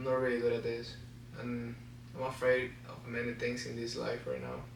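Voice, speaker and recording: A man keeps a moderate pace, his voice carrying audible room echo amid noticeable background noise. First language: Spanish. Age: 20s. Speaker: vlogger. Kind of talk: personal vlog to camera. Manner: halting, stutters.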